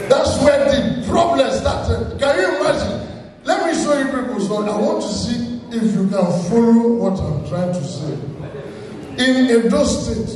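A man's voice carries strong room echo with light background noise. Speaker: stand-up comedian. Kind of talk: stand-up comedy routine. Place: stage.

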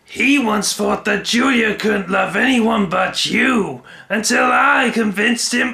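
Using a raised, projected voice, a man speaks with a high pitch at a fairly slow pace. His loudness stays very even. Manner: taunting, desperate.

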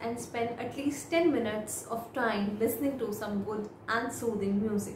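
Over noticeable background noise, a woman speaks at a moderate pace in a fairly high voice. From India. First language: Hindi. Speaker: IELTS speaking tutor. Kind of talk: model exam answers, tutorial. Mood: calm, friendly. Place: home room.

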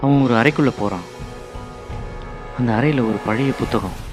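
The speaker uses ordinary pitch variation, with music in the background. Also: man. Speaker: voice-over artist. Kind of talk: horror story narration.

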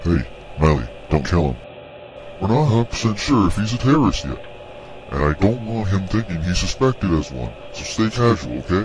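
A man with a fairly low pitch speaks with very wide pitch swings and long, frequent pauses against clear background noise. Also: moderate pace. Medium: machinima. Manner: suspicious, goofy.

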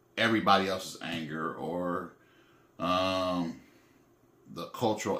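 A man's very deep, low voice with ordinary pitch variation and audible room echo. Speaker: vlogger. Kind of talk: casual vlog chat, reflective. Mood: calm, reflective, serious. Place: home room. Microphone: phone near.

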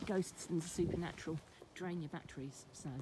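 A woman's fairly quick, monotone, flat delivery, dry with no echo, over noticeable background noise. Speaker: folklore vlogger. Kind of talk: casual vlog chat. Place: open country. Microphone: phone near.

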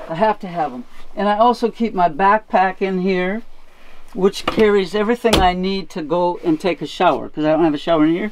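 Faint music plays in the background as a woman speaks. Her pace is moderate and her intonation lively. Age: 70s. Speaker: van lifer. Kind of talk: casual van tour talk to camera. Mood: humorous, relaxed. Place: car. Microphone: camera far.

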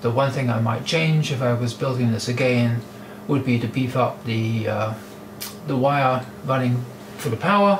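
Noticeable background noise sits behind speech delivered at a fairly slow pace. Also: man. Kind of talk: tutorial. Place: workshop. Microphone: camera far.

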